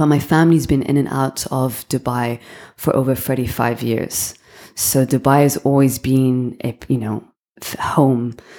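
At a moderate pace, a woman talks with a very deep, low pitch and a dark, mellow tone. Her intonation is monotone and flat. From London, England. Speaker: founder of a beauty distribution company. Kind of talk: podcast interview.

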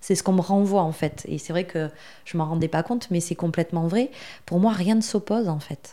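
A woman speaks with fairly low pitch, ordinary pitch variation and a dark, mellow tone. The recording is very clean, with a silent background. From southwest France. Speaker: marketing agency founder. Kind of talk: podcast interview. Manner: hesitant, with frequent filler sounds.

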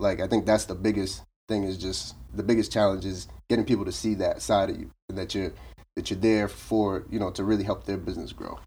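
A man with an American accent speaks at a fairly quick pace with vocal fry and ordinary pitch variation, on a very clean recording with a silent background. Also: fairly low pitch for a man. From Boston area, Massachusetts (Roxbury, Brockton). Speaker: commercial real estate agent. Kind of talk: casual interview.

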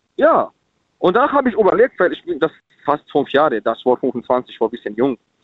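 The pace is moderate as a man talks in a fairly high pitch. He swings his pitch very widely. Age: 30s. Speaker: caller. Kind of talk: phone-in radio talk. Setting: phone call.

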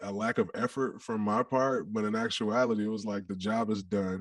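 Using a normal speaking voice with an American accent, a man talks at a fairly low pitch and moderate pace with fairly even intonation. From Detroit, US Midwest. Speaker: musician and former football player. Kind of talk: casual interview.

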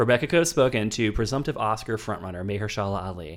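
Recorded very cleanly against a silent background, a man talks at a very fast pace in a fairly low pitch. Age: 30s. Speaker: film podcast host. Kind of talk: casual chat. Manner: animated.

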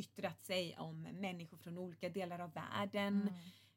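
A woman speaks at a moderate pace with fairly even intonation. Her fairly low voice sounds somewhat breathy. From Gothenburg, Sweden. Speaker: politician. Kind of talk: podcast interview.

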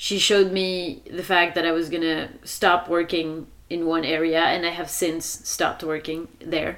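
Noticeable background noise sits behind a woman speaking with a French accent at a fairly slow pace. Her pitch is fairly low and her intonation is monotone and flat. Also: hardly any pauses. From France. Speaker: wilderness retreat facilitator. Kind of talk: casual chat.

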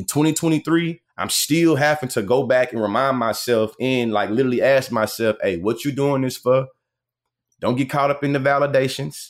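The recording is very clean, with a silent background. A man speaks at a moderate pace and medium pitch, with ordinary pitch variation. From Texas. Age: 30s. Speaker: debate coach and content creator. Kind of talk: interview. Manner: animated, articulate.

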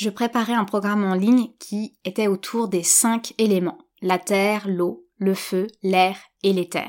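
Very clean audio with a silent background, featuring a woman's fairly even intonation at a medium pitch. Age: 30s. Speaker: yoga teacher and podcast host. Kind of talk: solo podcast monologue. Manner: hesitant, with fillers and repetitions.

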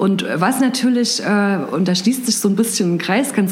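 There is audible room echo and noticeable background noise as a woman speaks with ordinary pitch variation. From Thuringia, eastern Germany (Gera). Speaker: head of communications and marketing. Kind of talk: interview.

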